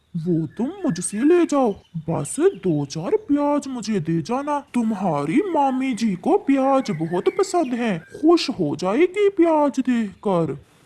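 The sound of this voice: A cartoonish character voice with a fairly high pitch and very wide pitch swings moves at a fairly slow pace with hardly any pauses.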